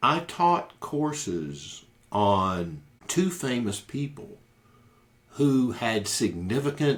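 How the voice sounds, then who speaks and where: Speaking very slowly at a medium pitch, a man swings his pitch very widely. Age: 60s. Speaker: podcast host, lawyer/counselor. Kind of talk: casual monologue podcast. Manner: conversational with filler words and repetitions.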